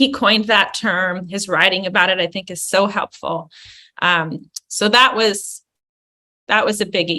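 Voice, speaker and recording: In a bright, sharp tone, a woman speaks fairly slowly with ordinary pitch variation. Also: medium pitch for a woman. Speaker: clinical psychologist. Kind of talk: interview. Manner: animated.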